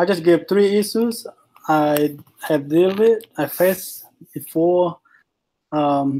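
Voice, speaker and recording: A man with a Vietnamese accent, fairly slow pace and ordinary pitch variation. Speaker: student. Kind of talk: class presentation. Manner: halting.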